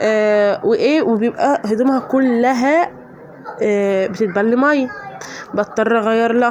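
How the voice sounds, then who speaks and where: Over a fair amount of background noise, a woman's voice comes through high-pitched. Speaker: home routine vlogger, mother. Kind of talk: casual voiceover narration.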